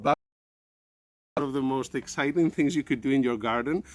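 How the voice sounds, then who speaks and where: A man with a Spanish accent. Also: dry, close sound with no echo. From Spain. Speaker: science communicator and teacher. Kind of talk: educational presentation for children. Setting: outdoors in a garden.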